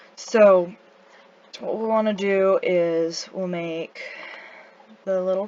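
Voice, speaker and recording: A woman's voice at medium pitch with ordinary pitch variation, over noticeable background noise. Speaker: amateur artist. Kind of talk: casual drawing tutorial narration. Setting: home recording, low-quality microphone. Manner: hesitant, stuttering, many fillers.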